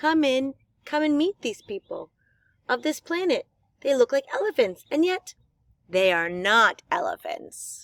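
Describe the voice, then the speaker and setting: A woman uses a put-on character voice pitched high, with very wide pitch swings. She moves at a moderate pace and leaves long, frequent pauses. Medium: read story.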